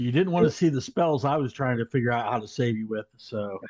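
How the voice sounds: The clip features a natural reading voice.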